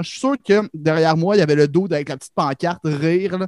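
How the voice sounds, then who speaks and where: With a Quebec accent, a man talks at a fairly quick pace in a fairly high pitch with ordinary pitch variation, the sound dry and close with no echo. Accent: Québécois French. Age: 20s. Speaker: comedian. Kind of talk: casual chat.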